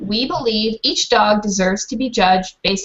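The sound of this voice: Pitch varies in an ordinary way as someone reads in an unforced voice.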